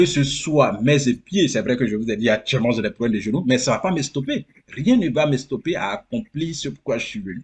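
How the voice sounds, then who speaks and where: This man's voice sits at a medium pitch and is somewhat breathy. He talks at a fairly quick pace with lively intonation. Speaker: immigrant sharing experience. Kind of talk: interview. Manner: animated.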